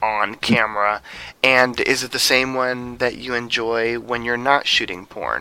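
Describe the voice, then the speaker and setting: Over noticeable background noise, a man speaks fairly slowly. His pitch varies in an ordinary way. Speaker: podcast interviewer. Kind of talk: interview. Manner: enthusiastic.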